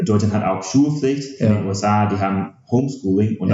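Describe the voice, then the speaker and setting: A man is speaking. He has an English accent. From USA. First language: English (speaking German). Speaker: startup founder, game developer. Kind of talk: podcast interview. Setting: in the same room as host. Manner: halting, many filler sounds.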